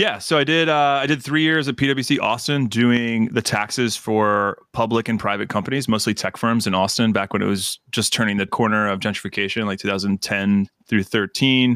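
Here is an unremarkable speaking voice with an American accent, ordinary pitch variation and very even loudness, at a fairly quick pace with hardly any pauses. The sound is dry and close with no echo, in a very clean recording with a silent background. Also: man, medium pitch for a man. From Mississippi, US South. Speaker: accountant and financial planner, firm owner. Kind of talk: casual interview chat.

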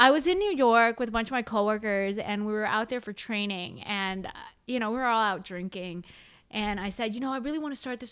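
A woman with an unremarkable speaking voice talks at a moderate pace and a fairly high pitch. The recording is very clean, with a silent background. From San Francisco Bay Area, US. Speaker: mindset coach, former accountant. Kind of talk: casual interview chat.

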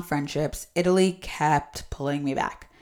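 Heard on a very clean recording with a silent background, an ordinary speaking voice with an American accent keeps a moderate pace and ordinary pitch variation. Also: woman. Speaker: podcast host. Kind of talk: casual interview chat.

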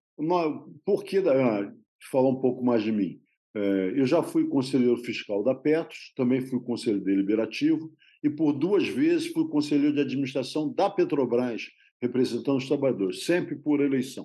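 Lively intonation runs through this dark, mellow voice. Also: man. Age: 70s. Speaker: retired systems analyst and union candidate. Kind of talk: interview.

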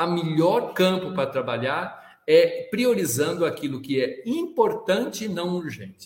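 Very wide pitch swings run through a man's high-pitched voice. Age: 60s. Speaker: business executive and sustainability leader. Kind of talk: interview.

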